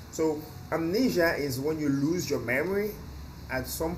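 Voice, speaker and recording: A man speaks with audible room echo. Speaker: English teacher. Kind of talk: lecture. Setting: outdoors on a balcony. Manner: loud.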